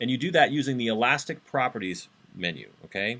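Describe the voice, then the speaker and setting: A man speaks at a medium pitch in a bright, sharp tone. Vocal fry comes through in his voice. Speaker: university instructor. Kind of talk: lecture. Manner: fast. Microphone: webcam.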